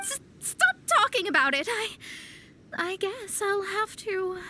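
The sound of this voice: A woman speaks slowly in a put-on character voice, pitched extremely high. Her tone is bright and sharp, with big swings in pitch.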